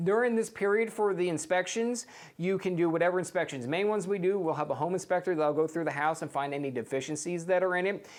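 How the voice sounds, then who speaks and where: A man with an American accent talks very fast with hardly any pauses. His pitch is high, with ordinary variation. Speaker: real estate agent. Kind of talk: tutorial. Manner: animated.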